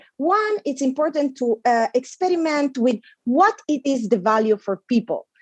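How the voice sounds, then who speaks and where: Speaking in an Italian accent, a woman uses a high pitch with very wide pitch swings. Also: moderate pace, dry, close sound with no echo. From Italy. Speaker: panelist on digital policy. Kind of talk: conference talk. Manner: halting, repeats words.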